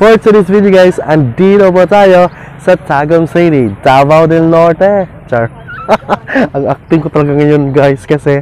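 Over light background noise, a man speaks at a fairly slow pace with ordinary pitch variation, and the sound is dry with no echo. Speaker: travel vlogger. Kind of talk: casual vlog chat. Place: street. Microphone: phone near.

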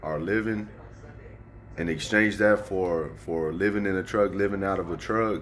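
Against light background noise, a man with a fairly low pitch talks at a fairly slow pace with fairly even intonation. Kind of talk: casual vlog chat. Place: home room. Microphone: phone near.

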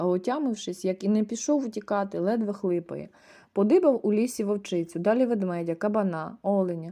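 Natural-sounding reading

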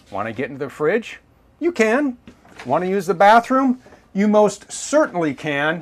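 Pace holds at a moderate rate. Pitch rises and falls very widely. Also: man. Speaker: presenter. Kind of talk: product tour presentation. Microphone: lapel.

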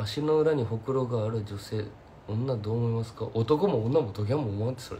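A man with a Kumamoto accent speaks at a medium pitch and a fairly quick pace. His pitch varies in an ordinary way, with light background noise behind him. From Kumamoto, Japan; Japan. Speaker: singer-songwriter. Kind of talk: casual livestream chat. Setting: Instagram live stream. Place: home room. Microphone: phone near.

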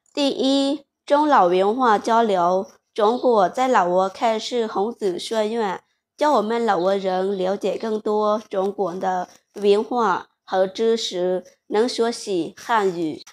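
A woman speaks with a Lao accent at a fairly high pitch. Her pace is very slow, with ordinary pitch variation. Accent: Lao-accented Mandarin. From Laos. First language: Lao (speaking Chinese). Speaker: vlogger. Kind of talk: vlog monologue. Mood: warm, earnest. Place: home room.

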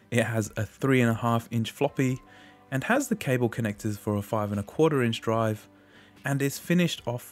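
Over music in the background, an enthusiastic man with an Australian accent speaks at a medium pitch with ordinary pitch variation. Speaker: retro computer collector. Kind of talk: tech review narration. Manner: friendly, enthusiastic.

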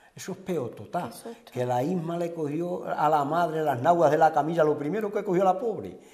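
A man speaks at a moderate pace. His pitch is fairly high, with ordinary pitch variation. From Andalusia, Huelva (Sierra de Aracena); Andalusia. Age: 60s. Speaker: retired local resident, Red Cross volunteer; interviewee. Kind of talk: interview. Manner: halting. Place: home room.

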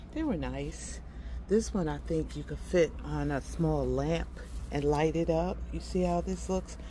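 There is light background noise. A woman talks at a fairly slow pace. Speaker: shopping vlogger. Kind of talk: casual vlog chat. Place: shop. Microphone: phone near.

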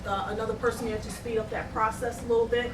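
Over noticeable background noise and audible room echo, a woman talks at a fairly quick pace in a high pitch. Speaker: city finance and budget director. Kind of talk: budget presentation at council meeting. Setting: city council meeting. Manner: fast; hesitant, many fillers.

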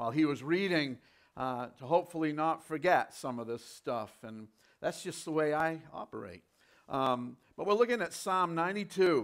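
At a moderate pace, a man speaks with big swings in loudness against a quiet background. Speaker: preacher. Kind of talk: sermon. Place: church. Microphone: lapel.

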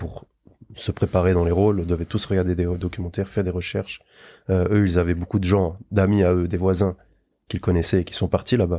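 Very deep and low in pitch, a man with a dark, mellow tone speaks at a fairly quick pace in a monotone, flat intonation over a quiet background. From Luxembourg, later France. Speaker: actor. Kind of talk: casual interview. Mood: calm, encouraging. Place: studio. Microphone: studio mic.

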